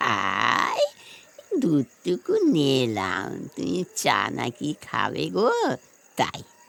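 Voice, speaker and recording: A woman's put-on character voice, very deep and low in pitch, at a very slow pace. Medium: audio drama. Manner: doting, fussy, rambling.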